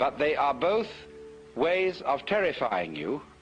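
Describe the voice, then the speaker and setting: Music plays in the background as a man speaks with a British accent. His pitch is high and his pace fairly slow. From England. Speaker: philosopher, lecturer. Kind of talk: philosophy lecture.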